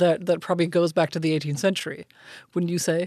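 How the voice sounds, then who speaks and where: A woman's fairly low voice with a German accent. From Germany. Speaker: foreign and security policy expert. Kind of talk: policy discussion.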